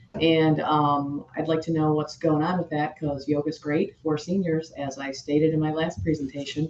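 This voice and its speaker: Noticeable background noise accompanies this moderately paced speech. The intonation stays flat and monotone, with hardly any pauses. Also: woman, very deep, low pitch for a woman. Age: 60s. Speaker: yoga instructor. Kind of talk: public comment at board meeting. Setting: public board meeting.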